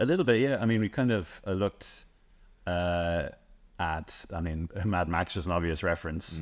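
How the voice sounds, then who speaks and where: Speech comes at a moderate pace with ordinary pitch variation. The background is quiet. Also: man, very deep, low pitch for a man. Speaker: interviewee. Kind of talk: interview answer. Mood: relaxed, friendly. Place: home room.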